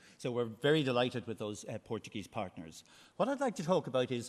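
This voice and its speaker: A man at medium pitch with lively intonation and an Irish accent, on a very clean recording over a silent background. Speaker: marine research manager. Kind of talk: conference presentation. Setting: conference hall with audience. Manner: loud, projected voice; hesitant, many fillers.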